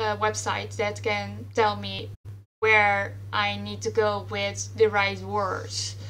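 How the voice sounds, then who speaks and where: A woman with a Dutch accent, very deep and low in pitch, in a bright, sharp tone, monotone and flat, at a very slow pace, with audible room echo. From Netherlands. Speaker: writer, panel moderator. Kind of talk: panel discussion. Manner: halting, many fillers.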